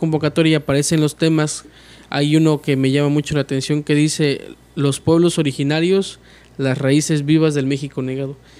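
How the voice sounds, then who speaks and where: A man talks at a moderate pace in a fairly high pitch, his intonation monotone and flat. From Mexico, Tuxtepec, Oaxaca; Oaxaca, Mexico. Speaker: oratory contest winner, medical student; interview guest. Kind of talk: interview. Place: studio. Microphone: studio mic.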